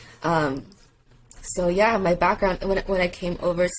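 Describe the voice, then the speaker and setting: Moderately paced female speech over clearly audible background noise. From China, moved to US at ten. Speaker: tattoo artist. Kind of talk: casual chat.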